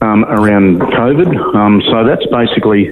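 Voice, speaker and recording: A man speaks over noticeable background noise. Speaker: medical doctor. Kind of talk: interview. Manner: halting, many fillers.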